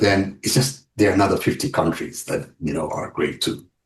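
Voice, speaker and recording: At a moderate pace, a man speaks in a fairly low, somewhat breathy voice with ordinary pitch variation. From Uganda. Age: 40s. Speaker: web developer and travel advisor. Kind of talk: podcast interview. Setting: podcast.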